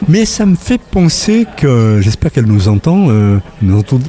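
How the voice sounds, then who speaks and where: Moderate pace, very wide pitch swings and noticeable background noise from a male speaker. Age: 60s. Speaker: retired journalist. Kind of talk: casual interview. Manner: hesitant, many fillers.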